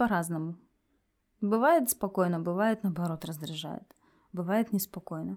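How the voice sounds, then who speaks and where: Against a silent background on a very clean recording, a woman with a fairly low voice speaks at a moderate pace with ordinary pitch variation and long, frequent pauses. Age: 30s. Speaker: lawyer, podcast guest. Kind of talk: personal consultation and role-play.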